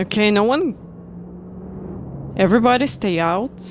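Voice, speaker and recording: A woman with a Russian accent, a medium pitch, lively intonation and a fairly slow pace. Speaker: sim racing streamer. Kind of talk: casual chat.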